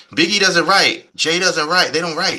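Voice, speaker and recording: A man's animated voice with an American accent, at a fairly quick pace. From New York, Queens. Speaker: rapper and radio producer. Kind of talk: interview.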